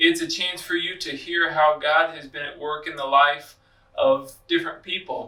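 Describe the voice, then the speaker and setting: The voice is raised and projected, moving at a moderate pace with ordinary pitch variation over noticeable background noise. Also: man. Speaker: church podcast host. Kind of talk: podcast introduction.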